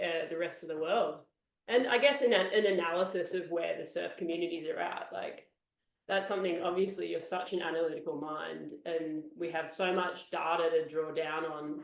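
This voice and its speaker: With an Australian accent, a woman with a fairly low voice speaks at a moderate pace with ordinary pitch variation, and audible room echo surrounds her. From Australia, Sydney (Bondi Beach). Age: 30s. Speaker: surf podcast co-host, journalist. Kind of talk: casual interview chat.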